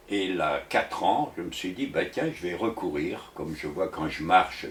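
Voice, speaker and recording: Noticeable background noise is heard throughout. Through it, a man talks at a moderate pace. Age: 80s+. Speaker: doctor and author. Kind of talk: interview. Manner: halting.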